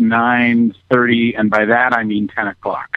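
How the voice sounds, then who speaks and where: A man talks at a fairly slow pace. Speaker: caller, band member. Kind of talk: casual chat.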